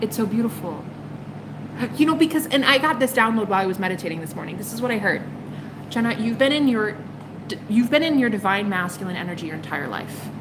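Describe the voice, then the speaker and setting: Woman's fairly high voice, animated and very fast, broken by long, frequent pauses, with audible room echo and noticeable background noise. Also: lively intonation, big swings in loudness. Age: 30s. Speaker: tarot reader. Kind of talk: live stream chat with viewers.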